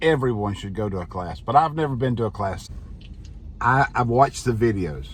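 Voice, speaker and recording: With lively intonation and big swings in loudness, a man speaks at medium pitch and a moderate pace. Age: 60s. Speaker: pastor and motorcycle vlogger. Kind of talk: casual vlog monologue. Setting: alone in office. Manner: halting, repeats words.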